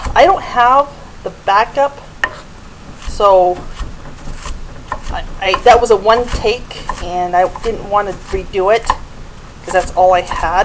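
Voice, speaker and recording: Long, frequent pauses break up speech at a fairly slow pace over noticeable background noise. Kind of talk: cooking tutorial. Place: kitchen. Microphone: camera far.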